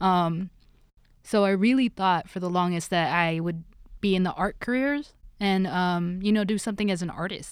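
A woman with a normal speaking voice and medium pitch talks at a moderate pace with fairly even intonation, in a very clean recording with a silent background. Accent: American. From Los Angeles. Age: 20s. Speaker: sound engineer and producer. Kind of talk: casual chat.

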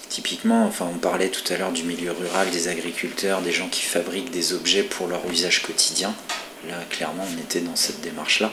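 With noticeable background noise and audible room echo, a man speaks fairly quickly at a very deep, low pitch with monotone, flat intonation. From France, Brittany (Rennes area). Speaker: furniture and object designer. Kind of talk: interview.

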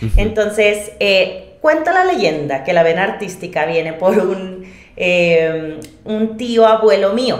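A woman with a Monterrey accent, medium-pitched, at a very slow pace, ordinary pitch variation, and audible room echo. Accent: Monterrey (regio) Mexican Spanish. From Mexico, Monterrey. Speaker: vocal coach and singer-songwriter. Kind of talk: interview.

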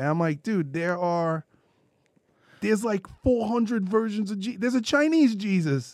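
Speaking with a New York accent, a man uses a high pitch and lively intonation at a moderate pace, on a very clean recording with a silent background. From US Northeast (Brooklyn, New York). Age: 30s. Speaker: podcast co-host. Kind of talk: casual chat. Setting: studio.

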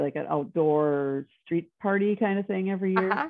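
A woman with an American accent speaks in fairly even intonation. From Wisconsin. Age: 50s. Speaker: x-ray technician. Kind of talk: interview conversation. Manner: hesitant, many fillers.

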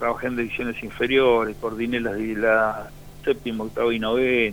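The man's pace is moderate. His voice sits at a medium pitch. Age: 50s. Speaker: former footballer. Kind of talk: radio interview. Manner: halting.

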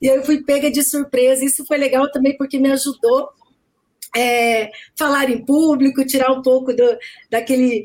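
A woman talks at a high pitch, keeping her intonation fairly even. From Brazil, Cuiabá and Campo Grande (Centre-West). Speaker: direct sales executive, lawyer by training. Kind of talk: live video chat interview.

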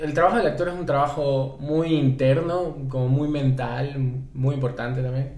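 In a room with audible echo, a man speaks slowly-ish at a fairly slow pace, his fairly high pitch held in fairly even intonation. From Ecuador, Guayaquil. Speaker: film and TV director and screenwriter. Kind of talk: interview conversation. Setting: in-person studio recording.

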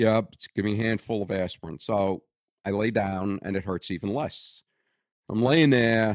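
Speaking with a strong Brooklyn accent, a man uses a fairly low pitch with ordinary pitch variation at a moderate pace, in a dry, close sound with no echo. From Brooklyn, New York. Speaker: bassist, retired telecom worker. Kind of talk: casual conversation, storytelling. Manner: wisecracking, sarcastic.

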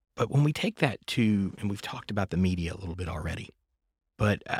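Recorded very cleanly with a silent background and a dry, close sound with no echo, a man with a fairly low pitch speaks somewhat breathily at a fairly quick pace. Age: 40s. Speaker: podcast host. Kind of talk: casual interview chat. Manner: animated.

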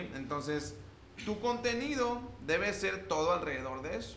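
A man's voice at a fairly slow pace with very wide pitch swings, amid noticeable background noise and audible room echo. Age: 20s. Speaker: personal branding agency owner. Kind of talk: casual interview chat.

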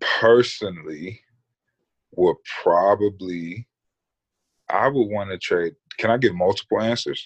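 A man with a fairly low voice talks at a fairly slow pace, leaving long, frequent pauses, with ordinary pitch variation and a dry, close sound that has no echo. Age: 20s. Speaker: professional basketball player. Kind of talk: casual chat.

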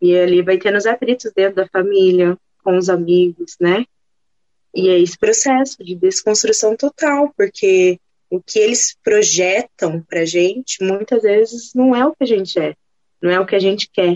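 A woman speaks with an ordinary speaking voice at a medium pitch. Her pace is moderate and her pitch variation ordinary. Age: 20s. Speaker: plus size model. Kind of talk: casual chat.

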